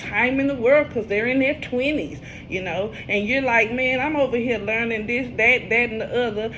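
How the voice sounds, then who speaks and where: Over noticeable background noise, a woman with fairly high pitch talks in an animated tone at a fairly quick pace. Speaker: tarot reader. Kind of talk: casual tarot reading monologue.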